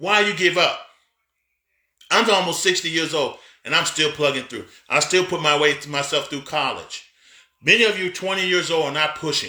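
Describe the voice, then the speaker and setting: With a bright, sharp, animated tone, a man speaks at a moderate pace in a high pitch, using ordinary pitch variation and long, frequent pauses. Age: 50s. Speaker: pastor and business coach. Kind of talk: motivational talk. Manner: halting.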